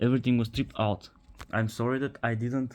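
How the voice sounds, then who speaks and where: A man's medium-pitched voice with a Bulgarian accent, in a very clean recording with a silent background. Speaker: car repair video maker. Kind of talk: tutorial. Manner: halting.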